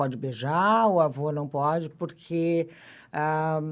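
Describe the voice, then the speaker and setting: A woman speaks at a very slow pace. Her pitch is very deep and low, over a quiet background. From Rio Grande do Sul, Brazil (Pelotas). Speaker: physician. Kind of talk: casual chat.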